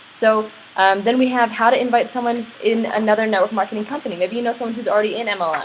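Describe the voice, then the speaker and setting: A woman's fairly high voice at a very fast pace, with fairly even intonation and noticeable background noise. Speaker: network marketing business trainer. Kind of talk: tutorial.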